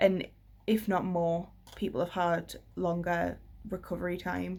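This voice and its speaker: A fairly slow, monotone, flat delivery in a British accent, on a very clean recording with a silent background. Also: woman, fairly low pitch for a woman. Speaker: vlogger. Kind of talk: personal vlog update.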